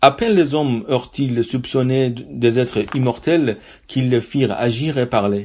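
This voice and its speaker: Speaking in an Iranian accent at a fairly slow pace, a man holds a medium pitch with ordinary pitch variation on a very clean recording over a silent background. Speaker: reader and translator. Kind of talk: literary reading.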